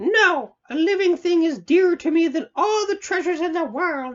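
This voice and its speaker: This is a put-on character voice, squeaky and extremely high in pitch. The pace is moderate. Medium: read story. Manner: sly, bargaining.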